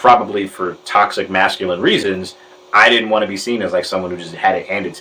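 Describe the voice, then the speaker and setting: Amid noticeable background noise, a man with a fairly low pitch speaks with ordinary pitch variation. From Detroit, US Midwest. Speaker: journalist. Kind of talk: interview answer.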